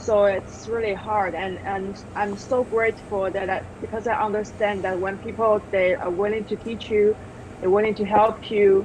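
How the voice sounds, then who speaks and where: A woman's monotone, flat delivery in a Chinese accent, with noticeable background noise. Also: medium pitch for a woman, moderate pace. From China. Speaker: television director. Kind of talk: interview. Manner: halting.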